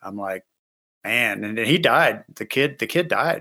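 A man talks in a bright, sharp tone with lively intonation. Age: middle-aged. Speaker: podcast co-host. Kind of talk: casual chat.

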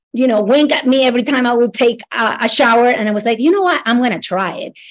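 In a Latin American accent, a woman talks at a fairly high pitch and a moderate pace. Her intonation is lively. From Ecuador. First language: Spanish. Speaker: immigration lawyer. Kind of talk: casual interview chat. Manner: enthusiastic, friendly.

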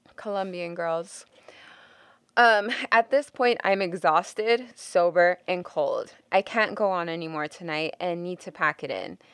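A woman with a normal speaking voice talks at a fairly slow pace, her medium pitch showing ordinary variation. Her loudness swings a lot, and the sound is dry and close with no echo. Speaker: podcast host. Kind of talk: casual chat.

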